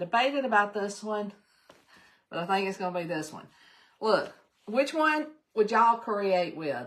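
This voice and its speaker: A woman with a Southern US accent speaks at a medium pitch with very wide pitch swings, big swings in loudness, and long, frequent pauses. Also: moderate pace. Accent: US South. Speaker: crafting channel host. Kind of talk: live craft tutorial stream. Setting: live stream. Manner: animated.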